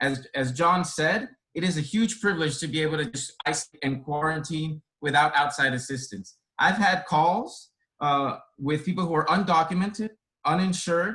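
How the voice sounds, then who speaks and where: A man's fairly high, bright, sharp voice with a Spanish accent, at a moderate pace with ordinary pitch variation. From born in Dominican Republic, grew up in inner-city Boston. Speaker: care resource coordinator. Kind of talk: panel talk.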